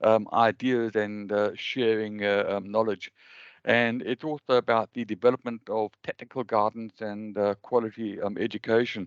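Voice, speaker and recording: In a South African accent, a man talks at a moderate pace and medium pitch. The sound is dry and close with no echo, against a quiet background. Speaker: webinar host, cost engineering association member. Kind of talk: webinar presentation. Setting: video call webinar. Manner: halting, many fillers.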